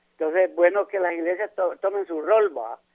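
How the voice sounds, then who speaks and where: A man talks at a moderate pace. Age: 70s. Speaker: caller. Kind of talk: phone-in comment. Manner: halting.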